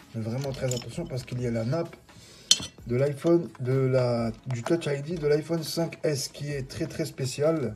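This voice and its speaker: A man's fairly high pitch and fairly even intonation, against noticeable background noise. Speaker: phone repair technician. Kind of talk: tutorial. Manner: hesitant, many fillers.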